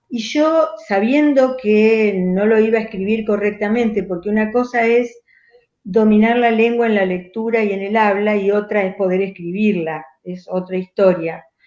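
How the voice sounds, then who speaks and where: This woman talks in a fairly high pitch with ordinary pitch variation. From Argentina, Rosario. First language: Italian dialect (speaking Spanish). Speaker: writer and poet. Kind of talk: conversational interview.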